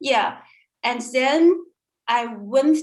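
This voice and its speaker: In a Chinese accent, a woman speaks at a high pitch. Her pace is very slow. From China. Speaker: language student. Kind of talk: interview. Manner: halting, many fillers.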